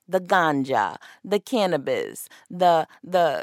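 With very wide pitch swings and an animated tone, a woman is recorded in a dry, close sound with no echo. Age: 20s. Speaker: podcast host. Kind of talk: solo commentary on celebrity news.

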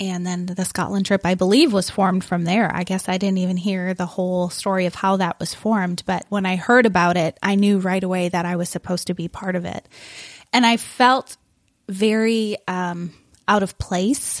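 A plain, everyday voice from a woman with an American accent, medium pitch, fairly even intonation and a moderate pace. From Wisconsin. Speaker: missions coordinator. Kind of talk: casual interview chat.

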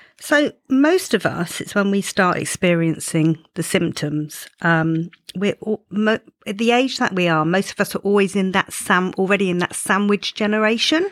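With an ordinary speaking voice, a woman at medium pitch talks at a moderate pace with ordinary pitch variation, in a dry, close sound with no echo and a very clean recording with a silent background. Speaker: menopause coach. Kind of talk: casual interview chat. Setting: studio.

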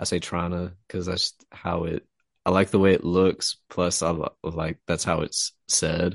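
In a quiet background, a man with a Texan accent and a very deep, low pitch speaks at a fairly slow pace in a flat monotone, the sound dry and close with no echo. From Texas. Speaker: fiction writer and podcast host. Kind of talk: casual chat.

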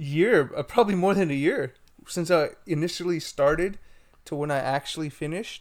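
A man with a normal speaking voice talks at a moderate pace and fairly high pitch. His pitch varies in an ordinary way, and the recording is very clean with a silent background. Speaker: podcast co-host.

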